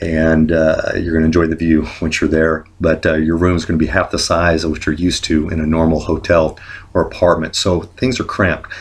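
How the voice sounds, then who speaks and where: Very deep and low, a man's somewhat breathy voice stays in a monotone, flat intonation. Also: fairly quick pace. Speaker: travel vlogger. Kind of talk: tutorial. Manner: many filler words.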